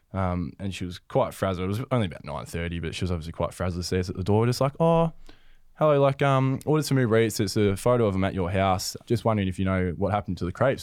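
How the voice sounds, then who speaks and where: A man with an Australian accent talks at a very fast pace, fairly low in pitch, with lively intonation. The recording is very clean, with a silent background. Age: 20s. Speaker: professional footballer. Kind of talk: casual chat.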